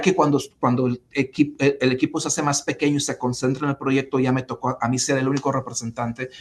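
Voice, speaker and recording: Monotone, flat intonation in a man's medium-pitched voice. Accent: Spanish. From Mexico. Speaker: former city official, civic leader. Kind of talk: interview. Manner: halting, many repetitions and fillers.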